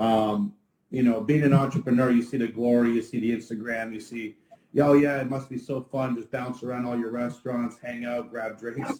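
Speaking at a fairly quick pace, a man with a medium pitch delivers his words in a monotone, flat intonation with a dark, mellow tone. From Ottawa, Canada. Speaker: restaurant owner. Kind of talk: casual interview. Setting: livestream.

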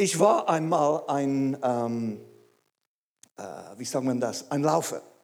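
Speaking very slowly in an English accent, a man has a fairly high pitch and ordinary pitch variation. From England. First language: English (speaking German). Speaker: pastor. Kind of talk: sermon. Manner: halting.

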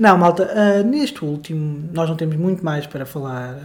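The delivery is fairly slow, with ordinary pitch variation. Noticeable background noise runs underneath. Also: man. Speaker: podcast co-host. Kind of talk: casual chat. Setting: home living room.

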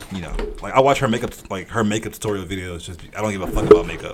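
Very fast speech with an American accent, fairly even intonation, big swings in loudness and noticeable background noise. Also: man. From US South, outskirts of Atlanta, Georgia. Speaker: podcast guest. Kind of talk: casual chat.

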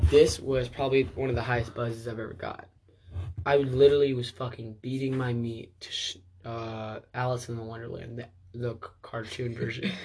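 At a moderate pace, a somewhat breathy man speaks at a medium pitch with ordinary pitch variation and big swings in loudness. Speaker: podcast co-host. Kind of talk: casual chat.

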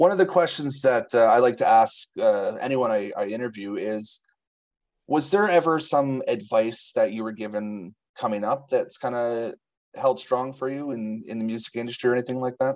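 A man talks with an unremarkable speaking voice and ordinary pitch variation. His pitch is medium and his pace moderate. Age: 30s. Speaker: interviewer, music blogger. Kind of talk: interview.

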